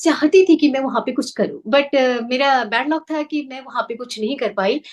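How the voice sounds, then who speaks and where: A woman's high-pitched voice with a Nepali accent at a moderate pace. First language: Nepali (speaking Hindi). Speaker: news anchor and singer. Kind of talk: interview.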